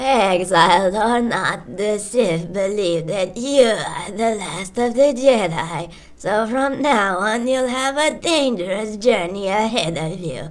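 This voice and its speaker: A woman uses a put-on character voice with lively intonation at a fairly slow pace. Light background noise can be heard. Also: medium pitch for a woman. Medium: machinima. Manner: solemn, commanding.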